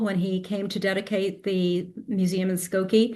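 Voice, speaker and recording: A woman speaks with audible echo from the room. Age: 70s. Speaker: genealogy lecturer. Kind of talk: q&a discussion after a lecture.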